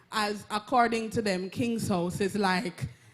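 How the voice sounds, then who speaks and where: A woman in a Jamaican accent, fairly high in pitch, at a very slow pace over music in the background. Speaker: audience member asking a question. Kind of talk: audience question at a public talk.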